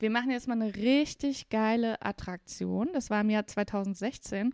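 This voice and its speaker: In a very clean recording with a silent background, a woman speaks at a very slow pace, the sound dry and close with no echo. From Saarland, Germany. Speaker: podcast host. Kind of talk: casual chat.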